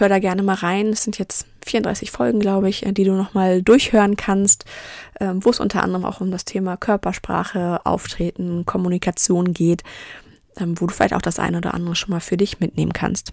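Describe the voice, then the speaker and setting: A woman with a normal speaking voice, medium pitch, fairly even intonation and a moderate pace. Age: 30s. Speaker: podcast host and business coach. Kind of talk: solo podcast monologue.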